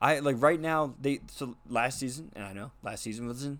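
A man speaks at a moderate pace and medium pitch, with ordinary pitch variation and a normal speaking voice. The recording is very clean, with a silent background. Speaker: podcast host. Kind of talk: casual sports banter. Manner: casual, joking.

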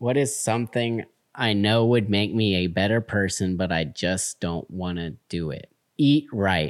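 On a very clean recording with a silent background, a man with an American accent uses an ordinary speaking voice at a fairly low pitch with ordinary pitch variation. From Texas, Houston. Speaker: Air Force veteran and student. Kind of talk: casual chat.

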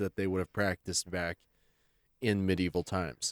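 A man's very deep, low voice with fairly even intonation, dry and close with no echo, in a very clean recording over a silent background. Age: 20s. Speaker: podcast co-host and voice actor. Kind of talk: casual chat.

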